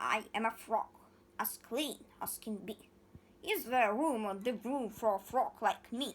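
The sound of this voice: A woman uses a put-on character voice that is croaky and fairly high. She speaks at a fairly slow pace.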